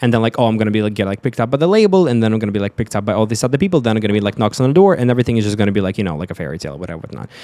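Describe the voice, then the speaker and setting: A man with an American accent talks very fast with hardly any pauses, his fairly low voice lively in intonation. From Russia (Sochi), later Europe and Florida. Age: 20s. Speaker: actor and music artist. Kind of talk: casual interview chat.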